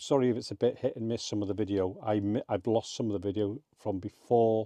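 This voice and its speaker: A man with an English accent speaks quietly at a fairly quick pace in a fairly low, dark, mellow voice with monotone, flat intonation, the sound dry and close with no echo. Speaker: motorhome travel vlogger. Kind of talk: casual vlog. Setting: campsite at night. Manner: quiet, keeping voice down.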